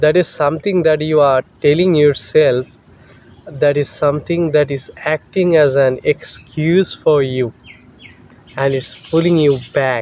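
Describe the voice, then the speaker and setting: A man with a Bengali accent speaks in a fairly high voice at a fairly slow pace. Noticeable background noise is present. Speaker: English teacher. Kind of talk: tutorial. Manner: halting.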